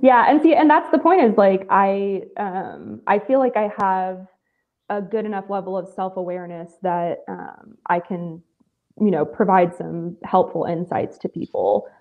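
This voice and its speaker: Using a normal speaking voice, a woman talks at a medium pitch with lively intonation. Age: 30s. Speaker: aspiring content creator. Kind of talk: casual chat. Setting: video call.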